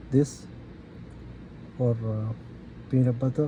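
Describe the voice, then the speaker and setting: Speech in a Gulf Arabic accent moves at a very slow pace. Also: man. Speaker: DIY car repair youtuber. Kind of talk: tutorial. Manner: halting.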